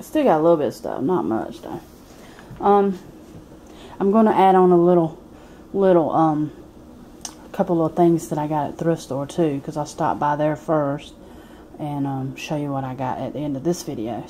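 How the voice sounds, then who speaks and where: The tone is dark and mellow, with ordinary pitch variation and a moderate pace broken by long, frequent pauses. Light background noise sits underneath. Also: woman, very deep, low pitch for a woman. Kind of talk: casual vlog chat. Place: home room. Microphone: phone near.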